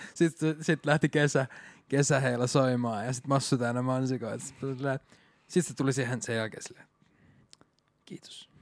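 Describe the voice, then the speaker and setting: A man with a plain, everyday voice and medium pitch speaks at a moderate pace, his intonation fairly even but his loudness swinging widely, in a dry, close sound with no echo. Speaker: podcast co-host. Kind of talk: casual chat.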